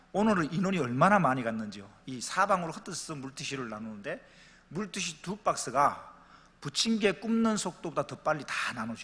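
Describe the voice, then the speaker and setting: Bright and sharp in tone, a man's fairly high voice moves at a fairly quick pace with very wide pitch swings and big swings in loudness. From Pohang, Gyeongsang region, South Korea. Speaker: pastor. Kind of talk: church announcement and anecdote. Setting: church. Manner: animated.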